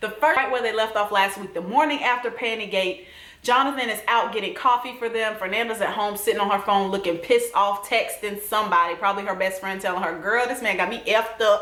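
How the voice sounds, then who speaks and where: In a Southern US accent, a woman speaks with an animated tone at a very fast pace, with hardly any pauses, a fairly high pitch and ordinary pitch variation. Noticeable background noise and audible room echo are present. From US South. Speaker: TV recap vlogger. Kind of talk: casual vlog commentary.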